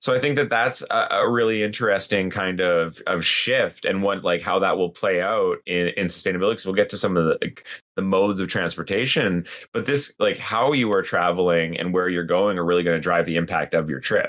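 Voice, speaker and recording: Talking at a fairly quick pace with hardly any pauses, a man with a Canadian accent uses a normal speaking voice at a fairly low pitch, with ordinary pitch variation. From Canada. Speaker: podcast co-host on sustainability. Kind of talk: casual conversational podcast discussion.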